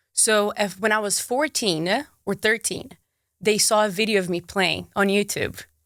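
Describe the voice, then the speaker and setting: A woman with a Brazilian accent talks at a moderate pace and medium pitch, with ordinary pitch variation, in a very clean recording with a silent background. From Brazil, Marília and Manaus. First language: Portuguese. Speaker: sports presenter and content creator. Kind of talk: casual interview chat. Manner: animated.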